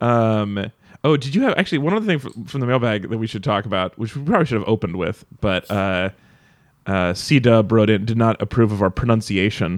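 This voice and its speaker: Over a quiet background, a man with an American accent and an ordinary speaking voice talks fairly quickly at medium pitch with ordinary pitch variation. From Nevada. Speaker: podcast host. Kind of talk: casual chat.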